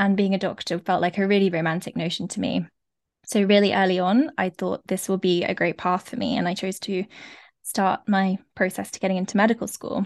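Over a quiet background, a woman with a London accent talks at a medium pitch with fairly even intonation, the sound dry and close with no echo. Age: 20s. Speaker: former doctor turned life coach. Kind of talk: interview conversation.

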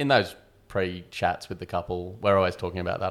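With an Australian accent, a man speaks at a very deep, low pitch in a very clean recording over a silent background. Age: 40s. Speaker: wedding photographer. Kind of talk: casual chat.

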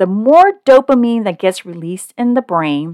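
This American-accented voice has very wide pitch swings. The recording is very clean and silent behind it, with a dry, close sound and no echo. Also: woman. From Oakland, California. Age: 40s. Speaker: weight loss coach and doctor. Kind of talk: solo podcast talk.

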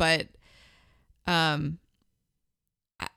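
The voice has a bright, sharp tone. It sounds dry and close with no echo, in a very clean recording with a silent background. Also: woman. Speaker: podcast host. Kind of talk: casual chat.

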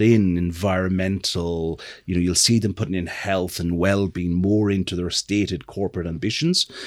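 Speaking at a fairly quick pace, a man with an Irish accent has a very deep, low pitch, captured on a very clean recording with a silent background. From Ireland. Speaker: marketing executive. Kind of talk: casual interview conversation.

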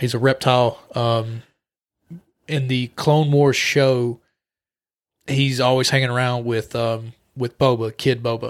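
Speaking in a flat monotone, a man goes at a fairly slow pace. He leaves long, frequent pauses. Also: medium pitch for a man. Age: 20s. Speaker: comic book podcast co-host. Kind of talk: casual chat.

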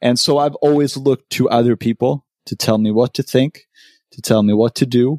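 This man has a dark, mellow tone and a medium pitch, speaking at a moderate pace with fairly even intonation. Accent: Swedish. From Sweden. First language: Swedish. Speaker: podcaster. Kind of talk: casual chat.

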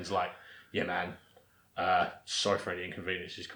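A man puts on a character voice that is very deep and raspy, with a monotone, flat delivery. He moves at a moderate pace. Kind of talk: casual. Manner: deadpan.

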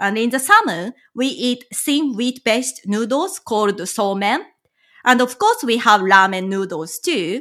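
A woman's fairly high, bright, sharp voice with a Japanese accent, lively intonation and a fairly slow pace. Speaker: travel consultant and licensed tour guide. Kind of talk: interview. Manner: hesitant, frequent fillers.

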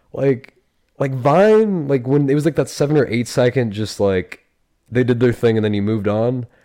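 Speaking at a moderate pace, a man uses a dark, mellow tone at medium pitch with lively intonation. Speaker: podcast host. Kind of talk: casual chat. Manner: casual, joking, profane.

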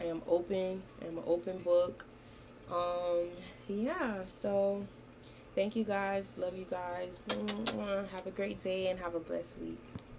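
Over noticeable background noise, a woman speaks very slowly at medium pitch with fairly even intonation and long, frequent pauses. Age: 19. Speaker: podcast host and college student. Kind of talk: casual monologue. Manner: casual, with frequent fillers.

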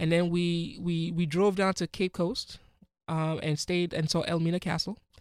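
A man speaks with a Ghanaian accent at a high pitch and moderate pace in a monotone, flat intonation. His loudness stays very even, and the sound is dry and close with no echo in a very clean recording with a silent background. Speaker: physician. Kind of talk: interview.

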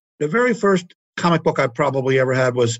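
A man with an American accent at a very fast pace, medium in pitch with ordinary pitch variation. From Baltimore, Maryland. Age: 70s. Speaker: comic book distribution executive. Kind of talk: interview.

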